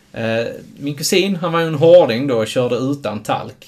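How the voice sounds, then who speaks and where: Here is a man with an ordinary speaking voice. His pitch is medium, and his pace is moderate. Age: 30s. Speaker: podcast co-host. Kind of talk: casual chat.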